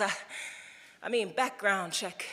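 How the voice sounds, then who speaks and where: At a very fast pace, a woman delivers her words in a raised, projected voice with ordinary pitch variation. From Brooklyn, New York. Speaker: spoken word poet. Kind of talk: live spoken word poetry performance. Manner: rhythmic, powerful.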